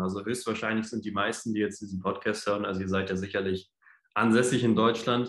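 Male speech carrying audible room echo, its pitch moving in an ordinary way. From northern Germany, Hamburg. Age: 20s. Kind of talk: casual chat.

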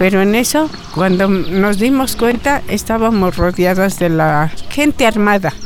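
Over noticeable background noise, a woman with medium pitch speaks at a fairly slow pace with lively intonation, very even loudness and hardly any pauses. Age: 80s+. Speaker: community forest defender. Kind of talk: testimony.

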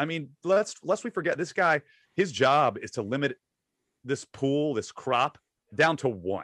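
There is vocal fry in this man's voice. No echo is heard, and the sound is dry and close. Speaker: podcast co-host. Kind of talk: casual chat.

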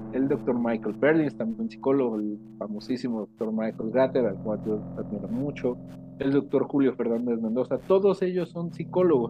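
An ordinary speaking voice moves at a moderate pace, showing ordinary pitch variation. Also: man, medium pitch for a man. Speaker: psychologist. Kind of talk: interview.

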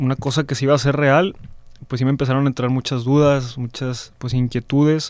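Here a man speaks at a medium pitch. His delivery is monotone, with flat intonation. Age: 20s. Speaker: seminarian. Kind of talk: testimony.

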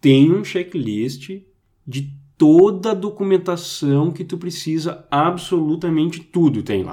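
A man with a fairly high pitch, a dark, mellow tone, lively intonation and a very slow pace. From Brazil. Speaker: IT professional. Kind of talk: casual chat. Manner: halting.

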